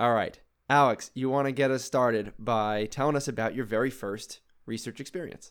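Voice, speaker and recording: A man speaks in an ordinary speaking voice at medium pitch. His pace is fairly quick and his intonation fairly even. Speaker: astronomy PhD student and podcast host.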